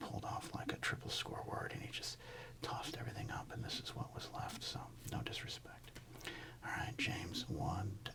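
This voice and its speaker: Whispering at a fairly quick pace, a man uses a relaxed tone over noticeable background noise. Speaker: sports card ASMR host and comedian. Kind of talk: soft-spoken ASMR card-collecting talk. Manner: soft-spoken, relaxed, humorous.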